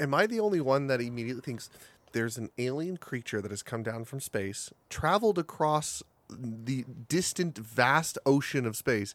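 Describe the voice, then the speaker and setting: A man in a plain, everyday voice talks at a moderate pace and medium pitch with lively intonation, captured in a very clean recording with a silent background. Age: 30s. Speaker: podcast guest. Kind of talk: casual chat.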